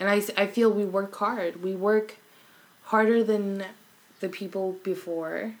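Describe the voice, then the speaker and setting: A woman speaks with an American accent at a fairly slow pace. Her intonation is monotone and flat, with long, frequent pauses. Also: medium pitch for a woman. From Arkansas and Los Angeles. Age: 20s. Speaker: visual artist. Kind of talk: casual chat.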